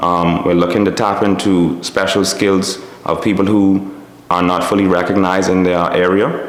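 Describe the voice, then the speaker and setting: A man with a Bahamian accent speaks in a very deep, low voice with very even loudness and a flat, monotone delivery, amid noticeable background noise and audible room echo. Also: moderate pace. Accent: Bahamian dialect, Abaco island, stands out. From Bahamas, Little Abaco. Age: 30s. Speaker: business owner and engineer. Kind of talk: interview monologue.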